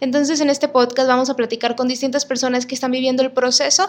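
A woman's voice, high in pitch. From Mexico, Monterrey. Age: 30s. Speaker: podcast host. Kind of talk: podcast monologue.

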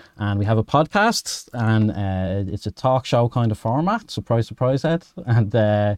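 A man with a Dublin accent speaks at a fairly slow pace in a medium pitch, with ordinary pitch variation and a dry, close sound with no echo against a quiet background. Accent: Irish, Dublin. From Dublin, Ireland. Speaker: podcast co-founder and guest; musician and sound engineer.

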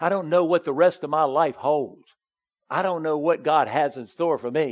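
Moving at a moderate pace, this is an ordinary speaking voice. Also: man. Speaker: pastor. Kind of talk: sermon. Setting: church.

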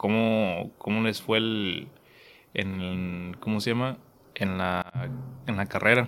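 A man's very slow, fairly low-pitched speech with long, frequent pauses and fairly even intonation. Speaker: podcast host. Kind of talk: casual chat.

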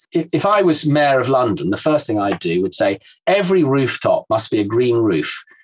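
In an English accent, this voice moves at a moderate pace with very wide pitch swings and very even loudness. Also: man, medium pitch for a man. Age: 60s. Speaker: environmental campaigner. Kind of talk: casual chat. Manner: halting.

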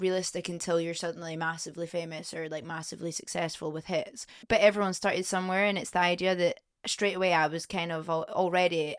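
A woman with a Scottish accent talks very fast at a fairly low pitch, with ordinary pitch variation. The recording is very clean, with a silent background. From Scotland, Edinburgh. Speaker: singer-songwriter. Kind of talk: casual chat. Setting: studio. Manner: animated.

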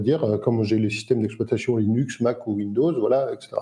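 A man's somewhat breathy, dark, mellow voice at a fairly quick pace, with ordinary pitch variation. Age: 50s. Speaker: entrepreneur and crypto investor. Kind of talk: casual chat.

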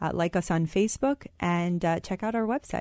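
A woman with an American accent and a normal speaking voice, medium in pitch with ordinary variation, dry and close with no echo, on a very clean recording with a silent background. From US Midwest, Michigan. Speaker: startup co-founder and business school student. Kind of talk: radio interview. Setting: studio.

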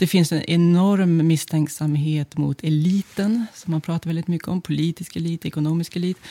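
Pitched fairly low, a woman's voice with a dark, mellow tone moves at a moderate pace with fairly even intonation and hardly any pauses, the sound dry and close with no echo. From northern Sweden, Örnsköldsvik. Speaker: sociologist. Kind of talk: interview.

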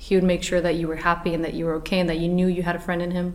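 A woman with a fairly low voice speaks over noticeable background noise. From Portugal. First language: Portuguese. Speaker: actress. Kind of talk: interview. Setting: studio.

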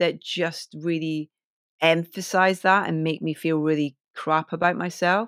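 The speaker has a Scottish accent and a fairly slow pace. The very clean recording has a silent background and a dry, close sound with no echo. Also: woman. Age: 40s. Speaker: DJ and broadcaster. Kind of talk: casual interview chat.

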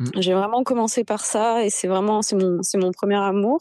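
A woman talks at a moderate pace in a normal speaking voice, her fairly high pitch held in fairly even intonation. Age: 30s. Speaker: cyclist and communications worker. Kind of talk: casual chat.

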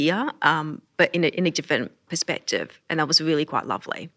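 With an Australian accent, a woman talks at a fairly quick pace in a very deep, low pitch on a very clean recording with a silent background. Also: dry, close sound with no echo. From Australia, Melbourne. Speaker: deaf community organization CEO. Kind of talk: casual interview.

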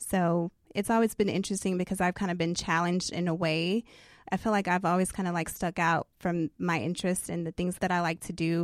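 Recorded very cleanly against a silent background, the voice comes with an American accent, a fairly quick pace, monotone, flat intonation, and a dry, close sound with no echo. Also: woman, fairly low pitch for a woman. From Texas (Beaumont). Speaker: influencer. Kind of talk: interview conversation.

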